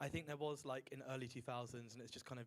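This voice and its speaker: This man has a strong Southern English accent. His pitch sits at a medium level and his intonation stays fairly even. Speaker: student council member. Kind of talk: group discussion.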